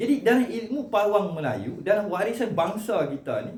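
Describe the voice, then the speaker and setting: Loud and high-pitched, a man speaks at a moderate pace with audible room echo. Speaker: cultural commentator, vlogger. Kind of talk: monologue to camera on Malay language and heritage. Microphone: no microphone, camera only, short distance.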